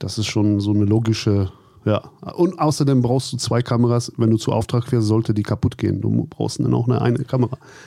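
A man with a dark, mellow tone speaks at a fairly quick pace and medium pitch, with ordinary pitch variation and very even loudness. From Germany, Cologne. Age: 40s. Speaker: cosplay photographer. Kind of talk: interview. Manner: halting, repeats words.

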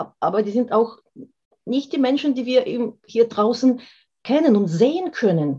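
Somewhat breathy and dark, mellow in tone, a woman with a non-native accent speaks fairly slowly with lively intonation. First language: not German (speaking German). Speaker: therapist and former dancer. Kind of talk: interview. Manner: animated.

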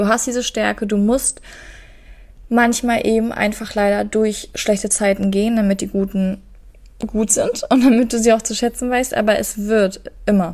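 A woman speaks in a fairly high voice with a flat, monotone delivery. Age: 20s. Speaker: podcast co-host. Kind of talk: casual chat.

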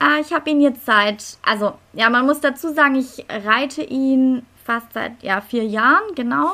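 A woman projects a raised voice at a fairly slow pace, high-pitched and bright, sharp in tone, with lively intonation. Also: hardly any pauses. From Stuttgart, Germany. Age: 30s. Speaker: lawyer and dressage rider. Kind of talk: casual interview.

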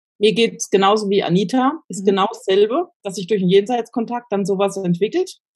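With a plain, everyday voice, a woman at medium pitch talks fairly quickly with hardly any pauses, showing ordinary pitch variation and big swings in loudness. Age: 40s. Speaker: spiritual training student. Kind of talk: casual chat.

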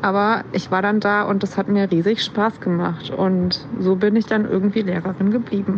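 A woman speaks at a moderate pace in a medium pitch. Noticeable background noise can be heard. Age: 40s. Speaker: teacher. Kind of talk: personal account.

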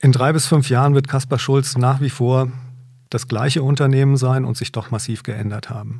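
In a very clean recording with a silent background, a man speaks in a flat monotone at medium pitch and a moderate pace, sounding somewhat breathy. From northern Hesse, Germany. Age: 50s. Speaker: company managing director. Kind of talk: business interview.

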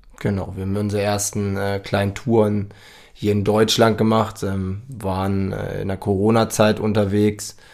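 Monotone, flat intonation at a moderate pace. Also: man, fairly low pitch for a man, very clean recording, silent background. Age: 30s. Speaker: podcast co-host, van traveller. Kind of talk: casual chat.

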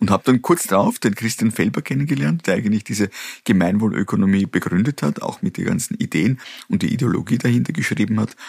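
The man's fairly low voice moves at a very fast pace with lively intonation. The sound is dry and close, with no echo. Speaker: company founder and CEO. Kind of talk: interview.

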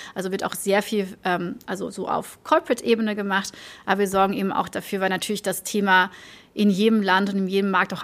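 A woman talks fairly quickly with vocal fry. The recording is very clean, with a silent background. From Belgium, village near Antwerp. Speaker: marketing executive. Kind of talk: casual interview. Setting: office.

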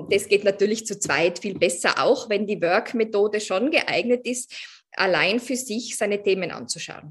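A woman speaks in an ordinary speaking voice, her pitch medium and its variation ordinary. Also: moderate pace. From Austria, Tyrol. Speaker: coach. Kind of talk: interview.

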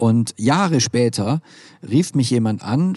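Over a quiet background, a dark, mellow voice with lively intonation comes through dry and close, with no echo. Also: man. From Swabia, southwest Germany. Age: 40s. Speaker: nonprofit managing director and keynote speaker. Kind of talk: interview. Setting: at a conference.

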